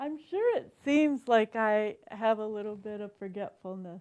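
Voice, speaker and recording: The speaker has lively intonation and a very slow pace. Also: woman. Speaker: painting instructor. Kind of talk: painting tutorial. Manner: halting, hesitant while painting.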